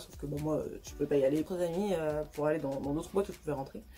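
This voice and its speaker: Music plays in the background as a woman talks. She goes at a very fast pace with fairly even intonation. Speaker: youtuber. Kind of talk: storytime vlog. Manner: stutters often; hesitant, many fillers.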